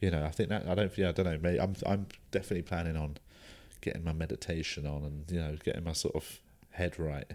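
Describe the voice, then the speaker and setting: Speaking very fast with a British accent, a man uses a very deep, low pitch and fairly even intonation. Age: 30s. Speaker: stand-up comedian. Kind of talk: casual chat.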